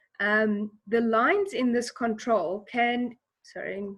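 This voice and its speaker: Her voice has a somewhat breathy quality. This woman talks at a fairly high pitch. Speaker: teacher. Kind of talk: tutorial.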